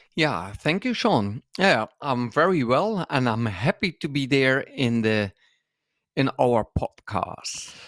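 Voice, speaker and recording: A man with a Dutch accent talks at a very slow pace, his pitch swinging very widely. The sound is dry and close with no echo, on a very clean recording with a silent background. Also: medium pitch for a man. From Netherlands. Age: 50s. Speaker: dance school owner and podcast co-host. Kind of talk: casual interview. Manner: halting.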